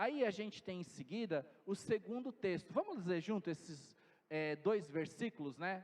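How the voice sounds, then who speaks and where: A man speaks at a fairly slow pace in a high voice. His intonation is lively. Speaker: pastor. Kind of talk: sermon.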